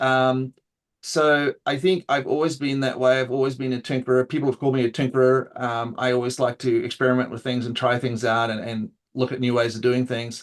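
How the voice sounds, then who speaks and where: A man with a New Zealand accent, medium-pitched, talking at a fairly quick pace in a flat, monotone delivery. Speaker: open source AI consultant. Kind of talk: interview. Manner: casual with many fillers.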